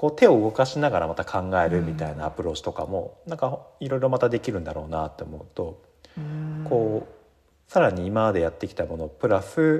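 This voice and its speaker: A man with a dark, mellow tone and a somewhat breathy voice talks at a fairly quick pace. His pitch swings very widely, and his loudness shifts a lot. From Japan, Yamanashi. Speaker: workshop facilitator and university lecturer. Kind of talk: casual interview.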